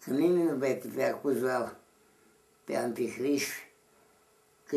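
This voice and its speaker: Speaking at a very slow pace with long, frequent pauses, a man keeps a medium pitch and fairly even intonation. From Romania. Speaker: Orthodox monk elder. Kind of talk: interview answer. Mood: grave, earnest. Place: home room. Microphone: camera far.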